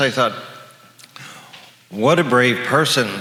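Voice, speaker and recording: Noticeable background noise runs under the recording. Here a man speaks at a moderate pace. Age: 60s. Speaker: retired psychologist sharing HIV survivor story. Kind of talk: personal testimony to an audience.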